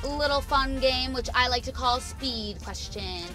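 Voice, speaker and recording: Clear music can be heard behind the voice. The speaker is a woman. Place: car.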